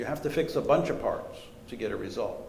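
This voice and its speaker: The clip has a man speaking with audible room echo. Noticeable background noise is also present. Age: 60s. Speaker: professor and strategy author. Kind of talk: lecture Q&A answer.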